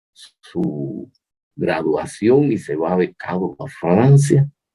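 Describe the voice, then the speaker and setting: With music in the background, a man speaks in very wide pitch swings. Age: 70s. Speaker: chemical engineering professor. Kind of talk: interview. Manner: halting, many fillers.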